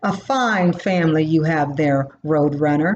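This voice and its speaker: Using a put-on character voice, a woman speaks with a very deep, low pitch. Her pace is fairly slow. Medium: read story. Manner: sleepy.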